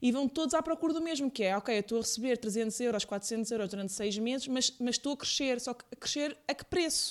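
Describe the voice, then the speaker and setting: Hardly a pause anywhere, a fairly quick rate, and pitch that rises and falls in an ordinary way. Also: woman, high pitch for a woman. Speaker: podcast host. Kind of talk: casual interview.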